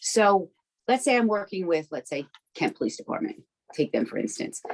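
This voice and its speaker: A woman with vocal fry speaks with long, frequent pauses, her pitch swinging very widely. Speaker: peer recovery advocate. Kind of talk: interview. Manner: fast; animated.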